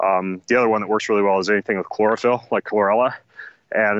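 A man with an American accent speaks at a fairly low pitch, his intonation fairly even. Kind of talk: casual interview chat.

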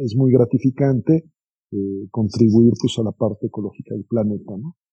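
Over music in the background, a man speaks at medium pitch with ordinary pitch variation. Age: 50s. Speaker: business investor. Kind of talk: interview.

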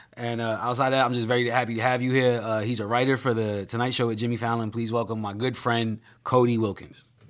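A man speaks at a very fast pace in a medium pitch, with monotone, flat intonation and hardly any pauses. Noticeable background noise runs underneath. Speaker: comedian and podcast host. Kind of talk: casual interview with comedic riffing.

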